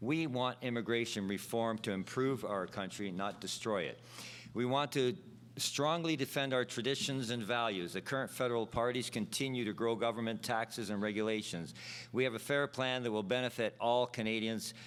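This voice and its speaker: A man with an unremarkable speaking voice, medium pitch and ordinary pitch variation speaks at a moderate pace on a very clean recording with a silent background. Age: 60s. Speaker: political candidate. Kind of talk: prepared debate speech. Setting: stage with audience. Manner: formal.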